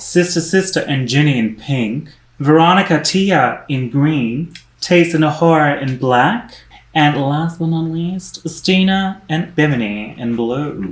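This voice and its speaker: Fairly slow delivery in a New Zealand accent. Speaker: podcast co-host recapping a competition show. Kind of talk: casual conversational.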